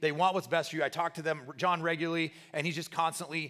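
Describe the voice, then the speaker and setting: This man's voice has a bright, sharp tone. His pitch is fairly high. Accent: American. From Central Nebraska, US. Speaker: pastor. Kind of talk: sermon.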